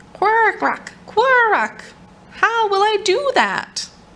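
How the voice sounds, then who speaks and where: A woman uses a put-on character voice. It is squeaky and extremely high in pitch. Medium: read story.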